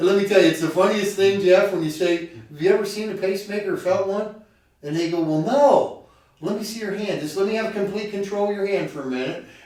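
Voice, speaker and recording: In a room with audible echo, a high-pitched man talks at a very fast pace. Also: ordinary pitch variation. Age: 50s. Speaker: heart patient and cyclist. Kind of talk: casual chat. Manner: animated.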